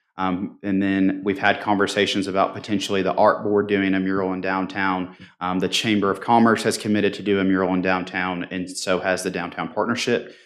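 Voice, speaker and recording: Barely pausing, a man talks at a fairly quick pace in a flat monotone with a very deep, low pitch. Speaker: downtown business association representative. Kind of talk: formal presentation at a city commission meeting. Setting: public meeting room with microphone. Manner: loud; halting, many filler ums.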